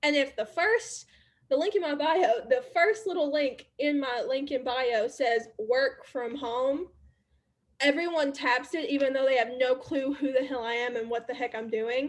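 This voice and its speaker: Talking at a fairly slow pace, a woman speaks with an Alabama accent. Her pitch is high and her intonation lively. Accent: Southern US (Alabama). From US South, Alabama. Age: 20s. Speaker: network marketer and social media creator. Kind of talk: casual workshop talk.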